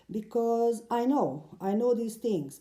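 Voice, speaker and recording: A woman with a non-native accent at a moderate pace. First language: not English. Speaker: silk mandala painter. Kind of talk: casual talk to camera. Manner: hesitant, many fillers.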